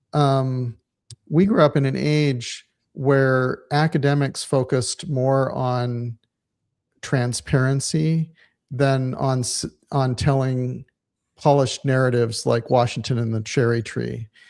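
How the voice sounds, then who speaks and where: Very slow speech with fairly even intonation. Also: man, medium pitch for a man. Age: 50s. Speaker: former church member giving a talk. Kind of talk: casual interview chat. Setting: livestream. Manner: halting, frequent restarts.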